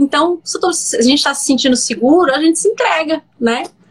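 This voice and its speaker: Music plays in the background as a woman talks at a fairly quick pace. Her pitch swings very widely. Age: 30s. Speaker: digital influencer and entrepreneur. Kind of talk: personal storytelling interview. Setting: live video stream. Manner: hesitant with many repetitions.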